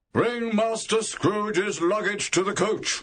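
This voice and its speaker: Shouting in a put-on character voice, a man pitches high and moves at a fairly slow pace with fairly even intonation. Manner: shouting, harsh.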